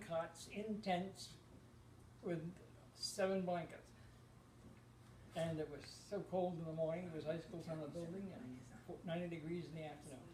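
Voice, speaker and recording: A man's high voice with an American accent, long, frequent pauses, and audible room echo. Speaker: war veteran. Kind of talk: oral history interview. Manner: halting.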